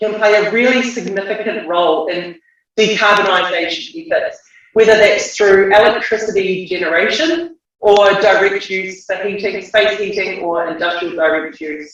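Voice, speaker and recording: A man speaks with a New Zealand accent. His pitch is high. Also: ordinary pitch variation, moderate pace. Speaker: geothermal association president. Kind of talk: conference talk. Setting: video call. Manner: hesitant, many fillers. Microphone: unstable Wi-Fi connection.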